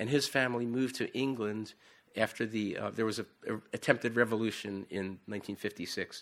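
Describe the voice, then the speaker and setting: Speaking very fast with an American accent, a man uses a medium pitch, ordinary pitch variation and a bright, sharp tone. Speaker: missionary preacher. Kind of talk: sermon. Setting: church. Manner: halting.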